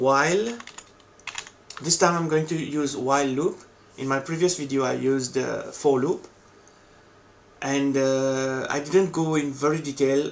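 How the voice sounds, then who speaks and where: Amid noticeable background noise, the speaker talks at a fairly slow pace with fairly even intonation and long, frequent pauses. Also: man, fairly high pitch for a man. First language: not English. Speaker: coding tutorial creator. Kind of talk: tutorial.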